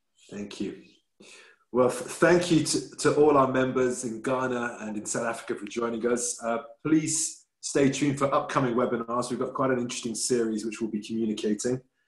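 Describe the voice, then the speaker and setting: Against a quiet background with audible room echo, a man speaks at a moderate pace with ordinary pitch variation. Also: medium pitch for a man. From England. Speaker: business chamber president, webinar host; webinar host. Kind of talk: webinar moderation. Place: home room. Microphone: video call.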